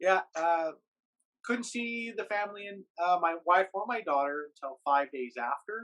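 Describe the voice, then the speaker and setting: A loud man with a high pitch, a bright, sharp tone, lively intonation and a fairly slow pace. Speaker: YouTuber and podcaster living in Japan. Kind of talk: casual podcast interview.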